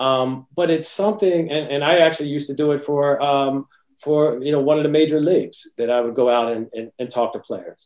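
Here is a man with an American accent and a normal speaking voice. His pitch is fairly high, his pitch variation ordinary and his pace fairly quick. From US Northeast, New Jersey. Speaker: wealth advisor. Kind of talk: interview.

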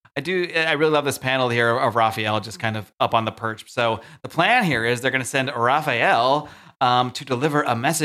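Text is read aloud plainly. Ordinary pitch variation runs through it.

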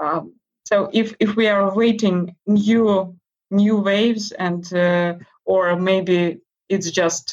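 A woman speaks with a Russian accent. Her intonation is monotone and flat. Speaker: interview guest. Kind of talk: casual interview. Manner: halting, many fillers.

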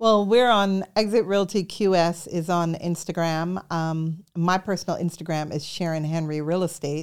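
This woman has a normal speaking voice, fairly low in pitch, with fairly even intonation. She talks at a moderate pace in a very clean recording with a silent background. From New York City, born in Jamaica. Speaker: real estate broker. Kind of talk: interview.

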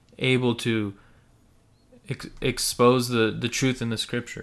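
In a very clean recording with a silent background, a man with an American accent talks at medium pitch in a bright, sharp tone. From US, Slavic immigrant family. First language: Russian and Ukrainian. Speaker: podcast co-host. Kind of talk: casual discussion.

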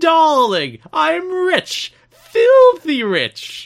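This put-on character voice sits at a high pitch. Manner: grandiose, flamboyant.

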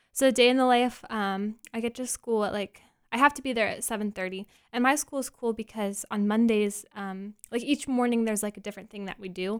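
A woman speaks fairly quickly with a fairly high pitch, ordinary pitch variation and a plain, everyday voice. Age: 20s. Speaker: elementary music teacher. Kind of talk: casual interview. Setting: studio.

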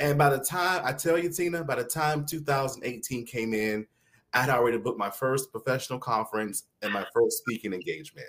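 At a moderate pace, the voice has a bright, sharp tone and a Southern US accent. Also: man. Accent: mild Southern US, polished. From South Carolina (Mullins). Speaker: educator and celebrity interviewer. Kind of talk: interview guest storytelling. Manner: articulate.

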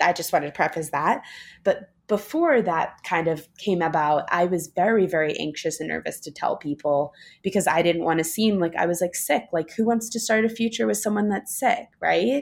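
In a very clean recording with a silent background, a woman with an American accent speaks at a moderate pace, her fairly low voice full of lively intonation. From US Northeast, New York City. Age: 20s. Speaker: speaker and writer on chronic illness. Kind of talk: casual interview.

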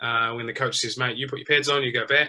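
A man with a New Zealand accent talks at a very fast pace and a medium pitch. His tone is bright and sharp, his intonation monotone and flat. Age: 30s. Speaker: professional cricketer. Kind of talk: interview.

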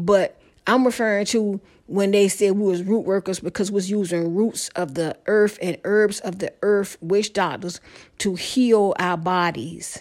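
On a very clean recording with a silent background, a woman talks at a moderate pace in a medium pitch with fairly even intonation. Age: 50s. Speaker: prophetic podcaster. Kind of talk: religious monologue. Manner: halting.

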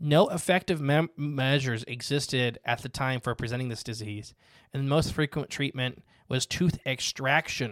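An ordinary speaking voice from a man at medium pitch and moderate pace, recorded very cleanly against a silent background with a dry, close sound and no echo. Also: ordinary pitch variation. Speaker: podcast host. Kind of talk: casual conversation about conspiracy theories.

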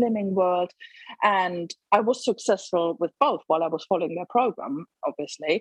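Her pitch moves through very wide swings. The female speaker keeps a moderate pace. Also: dry, close sound with no echo. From Germany. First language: German. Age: 40s. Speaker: teaching assistant sharing diabetes reversal story. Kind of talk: casual interview chat.

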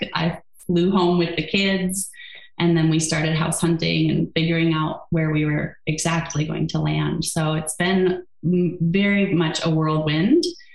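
A woman with an American accent speaks at a fairly slow pace in a fairly low, monotone, flat voice. Her loudness is very even, and background noise is noticeable. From US Midwest, Wisconsin. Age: 40s. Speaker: yoga therapist and author. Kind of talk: interview.

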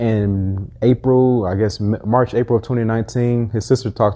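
A man talks at a moderate pace in an unremarkable speaking voice, with ordinary pitch variation. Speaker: entrepreneur and car rental business owner. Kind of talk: casual interview chat.

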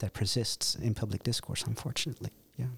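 With a Dutch accent, a man speaks at a medium pitch and a fairly quick pace, his voice somewhat breathy and his intonation fairly even, in a dry, close recording with no echo. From Netherlands. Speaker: political science lecturer. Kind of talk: interview. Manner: halting, many fillers and repetitions.

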